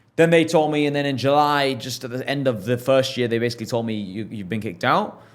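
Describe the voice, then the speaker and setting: Delivered very fast in an English accent, the speech has ordinary pitch variation. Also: man, medium pitch for a man. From England. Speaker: entrepreneur. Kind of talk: podcast interview. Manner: animated.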